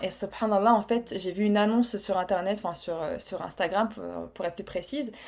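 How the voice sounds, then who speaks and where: This woman's voice has a medium pitch and a dark, mellow tone. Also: very clean recording, silent background. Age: 30s. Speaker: podcast guest, web agency founder. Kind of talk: casual interview chat. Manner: hesitant, many fillers.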